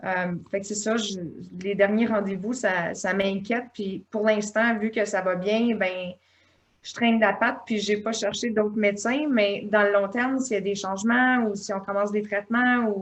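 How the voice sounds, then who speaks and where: A woman's medium-pitched voice with a Quebec accent, a fairly slow pace and monotone, flat intonation. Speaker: patient. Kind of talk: patient testimony. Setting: online video meeting. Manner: hesitant.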